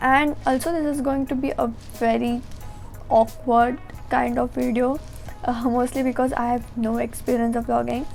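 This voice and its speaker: A high-pitched woman's voice, monotone and flat, with music in the background. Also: moderate pace. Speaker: college student. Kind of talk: casual vlog talk to camera.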